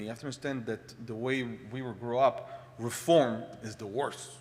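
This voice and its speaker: Fairly quick speech in an Israeli accent. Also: man. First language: Hebrew. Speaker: congregant speaker. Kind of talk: personal talk. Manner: halting.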